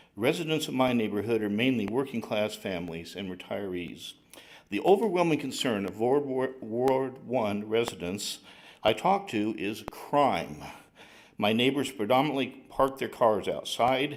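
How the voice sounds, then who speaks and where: With lively intonation and a medium pitch, a man talks at a moderate pace amid audible room echo. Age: 60s. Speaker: retired chemical engineer, public commenter. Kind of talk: public comment at city council. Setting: council chambers. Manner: reading prepared statement.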